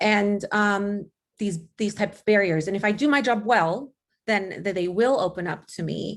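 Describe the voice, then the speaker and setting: A woman speaks at a moderate pace in a medium pitch with ordinary pitch variation. Her loudness swings widely. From Los Angeles, US. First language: not English. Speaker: college resource counselor. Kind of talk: panel presentation.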